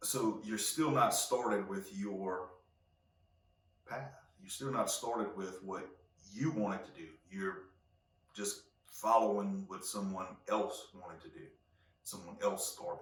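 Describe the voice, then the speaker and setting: A man's voice with big swings in loudness, audible room echo and noticeable background noise. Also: fairly slow pace. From Louisiana (Cajun). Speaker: podcast host. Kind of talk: solo podcast monologue. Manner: halting, many fillers and repeats.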